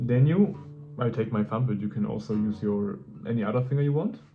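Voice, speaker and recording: A man speaks at a moderate pace and medium pitch with a non-native accent. His intonation is lively and his voice somewhat breathy. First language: not English. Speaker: guitarist. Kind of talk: tutorial. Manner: halting.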